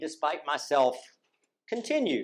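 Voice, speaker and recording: A man with fairly high pitch and lively intonation. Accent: American. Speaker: former law student and judicial clerk. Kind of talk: tribute speech.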